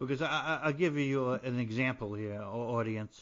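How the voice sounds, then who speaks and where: A man speaks in a New Jersey accent at a moderate pace. His pitch is medium, with ordinary variation. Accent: New Jersey American. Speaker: podcast host, poet and playwright, military veteran. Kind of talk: interview podcast. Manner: halting, repetitive.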